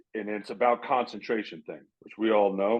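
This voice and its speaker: A man with an unremarkable speaking voice talks at a moderate pace, fairly low in pitch, with fairly even intonation. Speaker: former pro baseball player. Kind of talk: casual chat. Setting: podcast recording.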